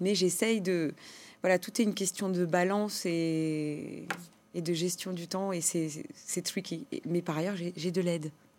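In a very clean recording with a silent background, a woman speaks. She goes very slowly with fairly even intonation. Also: fairly low pitch for a woman. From France, Compiègne, Portuguese immigrant parents. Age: 30s. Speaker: entrepreneur. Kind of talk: interview. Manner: hesitant, many repetitions and fillers.

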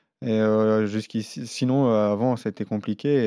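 A man's fairly low-pitched voice in a monotone, flat intonation. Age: 30s. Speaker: professional cyclist. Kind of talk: interview.

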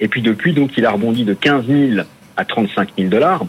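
A man's voice with very wide pitch swings. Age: 40s. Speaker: independent financial analyst. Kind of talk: market analysis interview.

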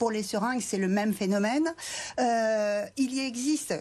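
This woman has a fairly high pitch and ordinary pitch variation. It is an ordinary speaking voice at a moderate pace. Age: 60s. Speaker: member of parliament. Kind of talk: televised political debate.

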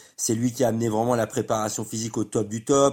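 Flat and monotone, a man talks at a fairly quick pace and medium pitch in a very clean recording with a silent background. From France. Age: 30s. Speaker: professional padel player and pundit. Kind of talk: casual chat. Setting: padel club.

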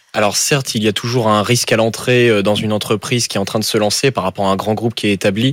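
Here a man talks at a very fast pace with hardly any pauses. His fairly low voice holds a very even loudness. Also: fairly even intonation. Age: 20s. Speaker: engineering student. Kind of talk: radio interview.

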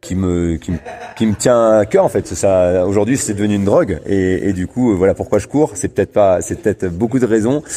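An unremarkable speaking voice, a man's fairly low pitch with ordinary pitch variation at a fairly quick pace. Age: 30s. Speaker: elite distance runner. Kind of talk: interview.

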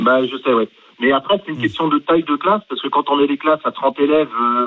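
A man with an unremarkable speaking voice talks fairly quickly in a fairly high pitch. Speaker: school head. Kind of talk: radio call-in. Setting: phone call. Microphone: poor phone sound.

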